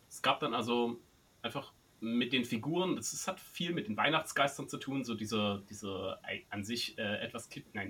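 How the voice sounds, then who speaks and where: A man talks at a moderate pace with lively intonation while noticeable background noise is heard. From Saxony, eastern Germany (Zwickau). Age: 40s. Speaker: writer and creativity trainer. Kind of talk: casual interview.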